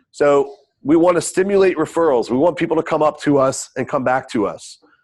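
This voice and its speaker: Lively intonation runs through the man's fairly quick delivery. He has an unremarkable speaking voice. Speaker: real estate trainer. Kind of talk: training webinar. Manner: casual.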